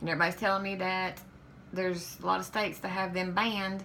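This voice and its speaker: With a Southern US accent, a woman speaks at a very fast pace and medium pitch. Her intonation is monotone and flat, and audible room echo is present. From Kentucky. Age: 40s. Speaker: vlogger. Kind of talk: vlog monologue. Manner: halting, hesitant.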